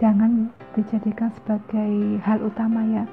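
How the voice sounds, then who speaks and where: A woman with a fairly high pitch and monotone, flat intonation, over noticeable background noise. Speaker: migrant caregiver and vlogger. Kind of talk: casual vlog talk to viewers. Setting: indoors at night, employer's home. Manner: soft-spoken, quiet; halting with fillers.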